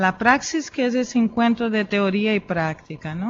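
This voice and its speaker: At a fairly slow pace, a woman with a Brazilian accent speaks at a fairly high pitch. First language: Portuguese (speaking Spanish). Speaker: philosopher and educator. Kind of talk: conference talk. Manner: hesitant, many fillers.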